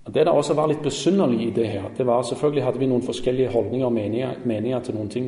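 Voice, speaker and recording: A somewhat breathy man's voice, medium in pitch and dark and mellow in tone, with fairly even intonation and audible room echo. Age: 40s. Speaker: lay preacher. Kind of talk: sermon. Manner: halting.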